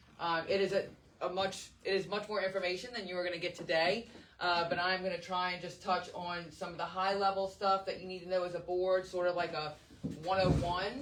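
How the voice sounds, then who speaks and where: The speech runs at a fairly quick pace. Noticeable background noise can be heard. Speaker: governance trainer for charter school boards. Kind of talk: training presentation. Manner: fast.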